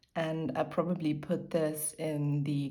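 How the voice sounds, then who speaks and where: Spoken with a German accent, the voice has monotone, flat intonation and audible room echo. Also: woman. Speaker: lifestyle YouTuber. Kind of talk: casual chat.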